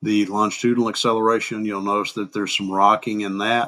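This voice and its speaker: A man speaks in a Southern US accent at a fairly low pitch. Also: very clean recording, silent background. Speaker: crash reconstruction instructor. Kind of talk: software tutorial narration. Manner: casual, unpolished.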